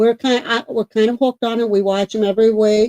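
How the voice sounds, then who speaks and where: A woman speaks loudly at a moderate pace. The sound is dry and close, with no echo. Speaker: paranormal podcast co-host. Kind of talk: casual chat. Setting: live stream. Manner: loud, projecting voice; halting, repetitive.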